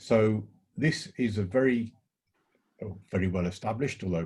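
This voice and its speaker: A man's fairly low, dark and mellow voice comes through somewhat breathy, with ordinary pitch variation. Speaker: college sustainability staff. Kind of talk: online panel discussion.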